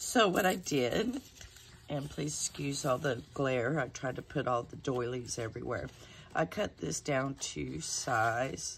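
A woman with an American accent speaks fairly slowly in a relaxed tone, her very deep, low pitch marked by vocal fry and very wide pitch swings. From Texas. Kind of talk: casual chat. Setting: home, talking to camera. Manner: chatty, relaxed.

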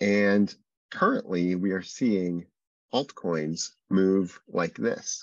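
The background is quiet and the sound is dry, with no echo. Pitch moves in an ordinary way. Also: man. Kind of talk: webinar presentation. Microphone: video call.

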